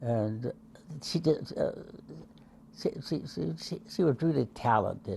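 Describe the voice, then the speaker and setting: This man's dark, mellow voice moves at a fairly slow pace, carrying vocal fry and very wide pitch swings. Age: 80s+. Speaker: centenarian. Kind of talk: interview answer.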